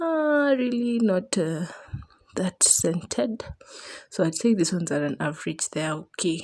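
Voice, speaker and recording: The voice is quiet, moving at a moderate pace with lively intonation. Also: woman. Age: young. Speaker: vlogger, new mother. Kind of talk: vlog voiceover. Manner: quiet, lowered voice; casual, chatty.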